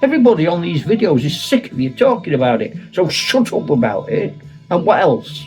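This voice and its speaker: Music plays in the background as a man speaks. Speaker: retired teacher and wargamer. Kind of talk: casual talk to camera.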